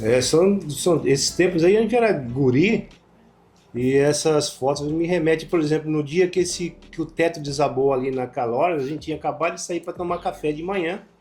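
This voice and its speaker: The speaker uses a normal speaking voice at a moderate pace, with ordinary pitch variation. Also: man, fairly high pitch for a man. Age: 60s. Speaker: former journalist. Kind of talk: interview.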